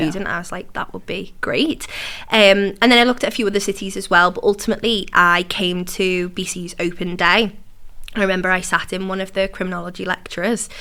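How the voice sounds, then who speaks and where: A woman with a Liverpool accent speaks very fast at a medium pitch in a bright, sharp tone, on a very clean recording with a silent background. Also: fairly even intonation. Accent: Liverpool (Scouse) English. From Liverpool, England. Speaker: entrepreneur, university alumna. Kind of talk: interview conversation.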